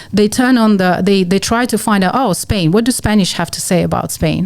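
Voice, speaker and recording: In a Russian accent, a woman speaks at a moderate pace with lively intonation. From Russia (Moscow). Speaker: musician. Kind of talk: podcast interview.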